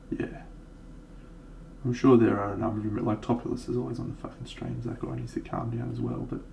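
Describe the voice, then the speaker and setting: A man speaks at a fairly quick pace with long, frequent pauses, and room echo is audible. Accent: Australian. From Australia, Brisbane. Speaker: miniature painting streamer. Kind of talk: casual livestream chat. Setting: live stream.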